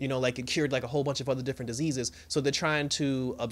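Speaking very rapidly, a man gets through his words in a rush. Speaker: TV episode reviewer. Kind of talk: casual review commentary. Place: home room. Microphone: studio mic.

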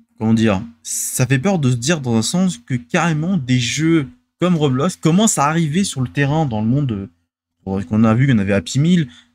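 Over light background noise, a man with a fairly high pitch speaks at a moderate pace with lively intonation, the sound dry with no echo. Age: 20s. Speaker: gaming and transport news video host; streamer. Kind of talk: solo casual show commentary. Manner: halting, many fillers and repetitions. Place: home room. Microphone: studio mic.

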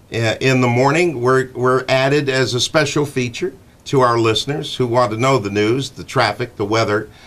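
A man with an American accent speaks at a moderate pace using fairly even intonation. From Connecticut, USA. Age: 60s. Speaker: morning radio show host. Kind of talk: radio show talk, casual and chatty. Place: studio. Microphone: studio mic.

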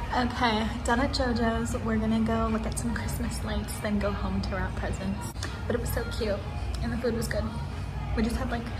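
A woman keeps to a moderate pace. Music sounds clearly behind her. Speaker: vlogger. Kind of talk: casual talk to camera. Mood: happy, upbeat. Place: bathroom. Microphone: phone near.

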